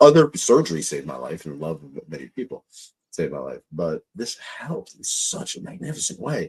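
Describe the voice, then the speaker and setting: Recorded with a dry, close sound and no echo, a man talks at a fairly quick pace with big swings in loudness. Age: 50s. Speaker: podcast host. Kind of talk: interview. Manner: animated.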